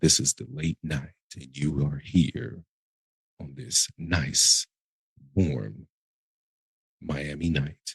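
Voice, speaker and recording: Using a put-on character voice, a man speaks very slowly at a very deep, low pitch, with lively intonation, big swings in loudness, and long, frequent pauses. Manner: smooth, laid-back.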